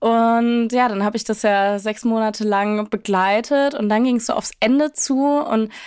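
In a very clean recording with a silent background, a woman uses a plain, everyday voice, fairly high in pitch, at a fairly slow pace with fairly even intonation. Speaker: podcast co-host, former intern.

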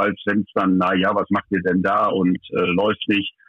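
A man is talking. His pace is fairly slow. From Lower Saxony, Vechta. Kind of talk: interview. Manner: halting.

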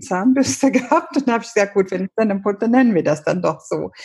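A somewhat breathy woman with lively intonation. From Ethiopia. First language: Amharic and English (speaking German). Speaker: paediatrician and author. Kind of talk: interview. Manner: halting.

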